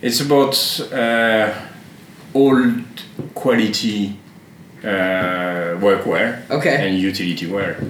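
A man with a French accent speaks very slowly, leaving long, frequent pauses. There is audible room echo and noticeable background noise. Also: medium pitch for a man, ordinary pitch variation. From France. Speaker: shop owner. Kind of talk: casual chat. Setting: barbershop. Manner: halting.

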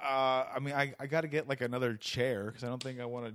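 Background music under a man's fairly quick, medium-pitched speech. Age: 30s. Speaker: podcast host and stand-up comedian. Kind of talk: casual chat. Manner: animated.

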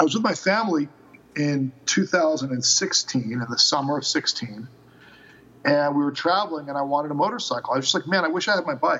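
A man with a normal speaking voice, fairly high in pitch, at a fairly quick pace with lively intonation. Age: 40s. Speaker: motorcycle rental company founder. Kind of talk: interview.

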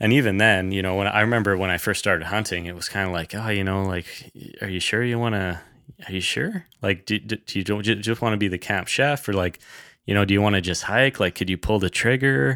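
Speaking very fast in a western Canadian accent, a man with a fairly low pitch has a bright, sharp tone and ordinary pitch variation. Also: very clean recording, silent background. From Canada, British Columbia (Kootenay region). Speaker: hunting podcaster. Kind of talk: casual chat.

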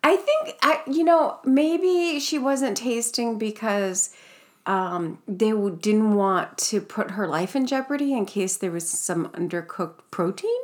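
Amid noticeable background noise, a woman speaks fairly slowly at a fairly high pitch, her pitch swinging very widely. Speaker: podcast host. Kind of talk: casual chat. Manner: laughs often, chatty.

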